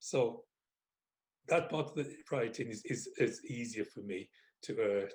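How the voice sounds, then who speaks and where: A man's fairly high, somewhat breathy voice at a fairly slow pace, with very wide pitch swings and long, frequent pauses. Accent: West Midlands. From Wolverhampton, England. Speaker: author. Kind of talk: interview answer.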